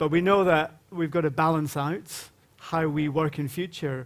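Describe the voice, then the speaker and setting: The speaker has a Glaswegian accent. Intonation stays fairly even. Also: man. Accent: Glaswegian Scottish. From Scotland, Glasgow. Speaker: panel moderator. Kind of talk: conference panel introduction. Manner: informal, humorous storytelling.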